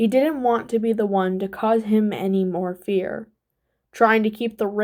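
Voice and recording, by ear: In a natural voice, the text is read aloud with fairly even intonation and a quiet background.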